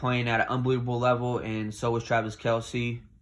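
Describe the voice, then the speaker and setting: The man talks in a monotone, flat intonation. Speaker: sports commentator. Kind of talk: casual talk to camera.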